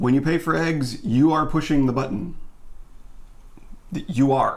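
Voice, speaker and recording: A man speaks at a fairly slow pace with a fairly high pitch. Audible room echo surrounds his voice. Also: ordinary pitch variation. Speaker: vegan YouTuber and voiceover artist. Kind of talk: casual chat. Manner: animated.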